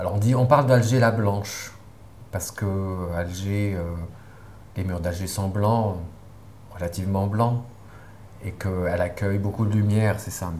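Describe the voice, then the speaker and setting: A man's fairly low-pitched voice with fairly even intonation, fairly slow and marked by long, frequent pauses, with audible room echo and noticeable background noise. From Algeria, near Algiers. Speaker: film director. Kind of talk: interview. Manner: halting.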